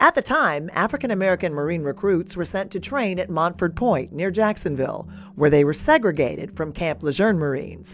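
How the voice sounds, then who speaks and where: Her voice is fairly low-pitched, an ordinary speaking voice with lively intonation. This woman speaks at a fairly quick pace with hardly any pauses. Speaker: TV news reporter. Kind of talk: TV news feature narration.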